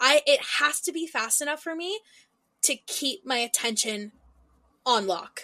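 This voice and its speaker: A woman with a high pitch speaks in a raised, projected voice with a bright, sharp tone and lively intonation. Her pace is fairly slow with long, frequent pauses, and the sound is dry and close with no echo. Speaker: podcast co-host. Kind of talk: casual chat. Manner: clear enunciation.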